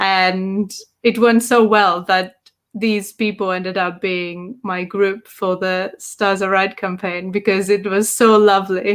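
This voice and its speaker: In a Greek accent, a woman speaks with monotone, flat intonation. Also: medium pitch for a woman, fairly slow pace. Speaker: tabletop game master. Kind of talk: podcast interview.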